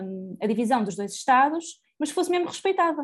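A woman uses lively intonation and a fairly quick pace, with only a quiet background around her. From Portugal, Porto. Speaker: podcast co-host. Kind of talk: casual discussion of current affairs.

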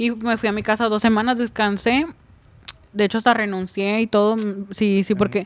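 A woman with a fairly high pitch speaks at a moderate pace in a monotone, flat intonation, leaving long, frequent pauses. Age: 20s. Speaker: truck driver. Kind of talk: casual chat.

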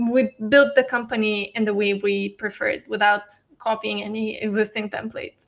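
Someone with a Bulgarian accent speaks at a moderate pace. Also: woman. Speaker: startup CEO. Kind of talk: casual interview.

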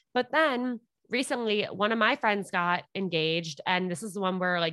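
A woman with a New York accent, medium pitch and very wide pitch swings, against a quiet background. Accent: New York area American. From New York (Westchester). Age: 20s. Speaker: podcast host on dating. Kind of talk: casual chat.

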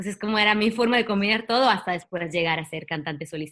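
A woman is speaking. Her voice sounds bright and sharp. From Italy. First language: Italian (speaking Spanish). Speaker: singer-songwriter and actress. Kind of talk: interview. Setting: video call.

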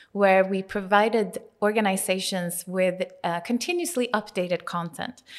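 The woman speaks in a Swedish accent at a fairly slow pace. Her pitch is medium, with ordinary variation. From Sweden. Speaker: tech entrepreneur. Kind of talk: interview.

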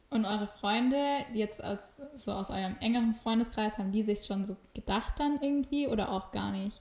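With noticeable background noise behind her, a woman speaks at a moderate pace in a fairly high pitch with fairly even intonation. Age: 20s. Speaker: podcast host. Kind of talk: casual interview chat. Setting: visiting the guest at her home.

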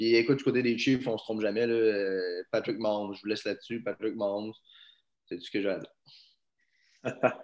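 A man at a medium pitch and a fairly quick pace, monotone and flat, with long, frequent pauses over a quiet background. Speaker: podcast co-host. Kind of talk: casual sports chat.

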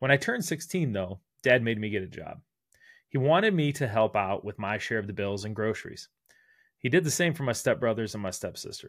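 Speech comes at a fairly quick pace in an American accent with lively intonation. The recording is very clean, with a silent background. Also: man, medium pitch for a man. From US Midwest, Northeast Ohio. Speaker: podcaster and recruiter. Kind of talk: personal storytelling monologue.

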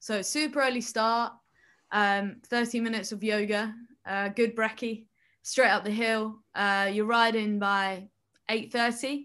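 The voice has a bright, sharp tone and a flat, monotone delivery at a fairly slow pace, in a very clean recording with a silent background. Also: woman, fairly high pitch for a woman. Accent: southern English. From England, Kent. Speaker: Olympic snowboarder. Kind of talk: casual interview.

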